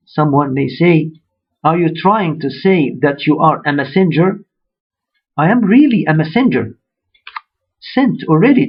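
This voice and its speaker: With an Arabic accent, a man speaks at a fairly slow pace in a fairly high voice, his intonation lively and his pauses long and frequent. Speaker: religious speaker. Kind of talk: sermon.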